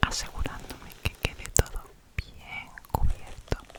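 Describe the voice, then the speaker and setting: A woman whispering at a very slow pace over noticeable background noise. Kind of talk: ASMR product review. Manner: whispered.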